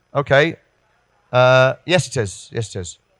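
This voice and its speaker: A man at a medium pitch, very slow, with ordinary pitch variation. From northern England, Liverpool. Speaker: education trainer. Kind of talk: workshop presentation. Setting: room with audience. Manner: halting.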